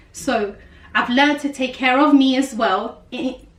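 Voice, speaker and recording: Over noticeable background noise, a woman with a South London accent speaks at a moderate pace in a high pitch. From South London, England. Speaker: life coach and YouTuber. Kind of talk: casual vlog monologue.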